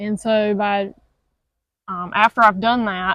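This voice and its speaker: A woman is talking. Her accent is Southern US. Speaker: cattle farmer. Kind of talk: interview answer.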